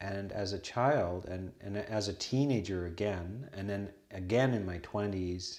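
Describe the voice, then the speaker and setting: In a Canadian accent, a normal speaking voice proceeds at a fairly slow pace with ordinary pitch variation. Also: man. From western Canada. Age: 60s. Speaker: Buddhist monk and abbot. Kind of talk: casual conversation.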